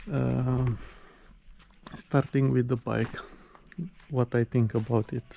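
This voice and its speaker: In a dry, close sound with no echo, a man speaks very slowly at a medium pitch with monotone, flat intonation and long, frequent pauses. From Romania. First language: Romanian. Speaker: motorcycle reviewer. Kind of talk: product review. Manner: halting, many fillers.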